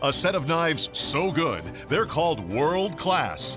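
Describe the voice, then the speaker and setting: Music plays in the background. Over it, a man with a fairly high pitch speaks at a fairly slow pace. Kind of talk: TV commercial read.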